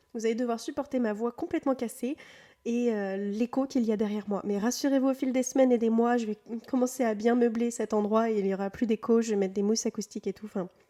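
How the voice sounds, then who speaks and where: A woman's fairly high voice has a dark, mellow tone. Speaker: virtual assistant and tutorial creator. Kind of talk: software tutorial. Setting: newly moved-into, barely furnished room. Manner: hesitant, many fillers. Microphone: echo in the room.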